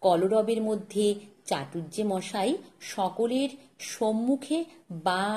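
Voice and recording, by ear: The reading aloud is done in a natural voice.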